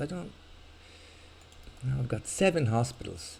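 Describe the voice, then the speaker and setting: Somewhat breathy, a man speaks at a moderate pace with very wide pitch swings. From Ireland. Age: old. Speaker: video game streamer. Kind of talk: live gameplay commentary. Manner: casual, rambling with hesitations.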